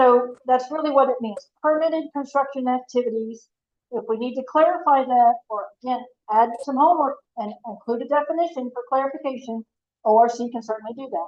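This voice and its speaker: The delivery runs at a fairly quick pace, with ordinary pitch variation and big swings in loudness. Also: woman, high pitch for a woman. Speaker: town official. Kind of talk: council meeting discussion. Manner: fast.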